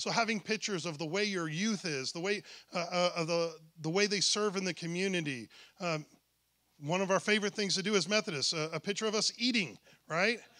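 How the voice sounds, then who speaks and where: A man's raised, projected voice, high in pitch, bright and sharp in tone, with ordinary pitch variation. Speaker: church workshop presenter. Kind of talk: workshop presentation. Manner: halting, many fillers and restarts; fast.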